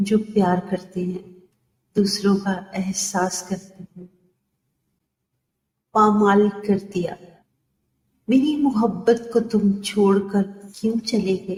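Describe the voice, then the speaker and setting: Her loudness swings widely as a woman speaks at medium pitch with fairly even intonation. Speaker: poet and voice artist. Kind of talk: poetry reading. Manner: expressive.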